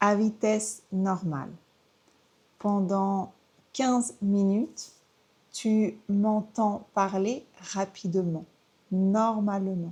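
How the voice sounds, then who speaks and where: A woman's dark, mellow, somewhat breathy voice at medium pitch, very slow with long, frequent pauses, fairly even intonation and very even loudness. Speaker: French teacher. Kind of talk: tutorial.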